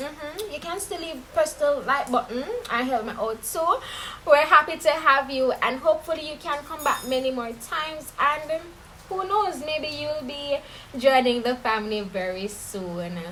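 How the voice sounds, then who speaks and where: In a raised, projected voice with a Caribbean accent, a woman speaks at a moderate pace, her high pitch carrying lively intonation, big swings in loudness and an animated tone over noticeable background noise. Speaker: true crime YouTuber. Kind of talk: casual storytelling.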